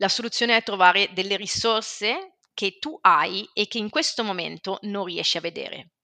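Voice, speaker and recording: Her tone is bright and sharp, with ordinary pitch variation and hardly any pauses. This woman's voice has a dry, close sound with no echo. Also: medium pitch for a woman, moderate pace. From Switzerland, Ticino. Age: 40s. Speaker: family constellations therapist. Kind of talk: interview.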